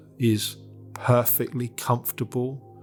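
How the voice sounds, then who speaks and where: At a very slow pace and medium pitch, a man speaks in a calm, soothing tone with music in the background. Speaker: meditation guide. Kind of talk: guided meditation. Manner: calm, slow, soothing.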